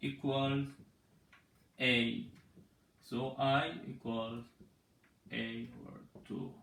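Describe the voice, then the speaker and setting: Long, frequent pauses and big swings in loudness come through with audible room echo. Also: man. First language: Persian. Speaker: mathematics teacher. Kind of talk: tutorial. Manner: halting.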